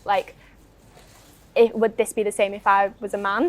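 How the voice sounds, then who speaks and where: Speaking at a moderate pace, a woman with a fairly high pitch has a Northwest English accent. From Northwest England. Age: young. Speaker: young campaigner. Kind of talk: interview.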